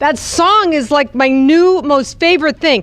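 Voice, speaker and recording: Over noticeable background noise, a woman with an American accent speaks at a fairly slow pace in a high pitch, her tone animated. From New Jersey. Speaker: speaker at a youth retreat. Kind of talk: talk to children's group.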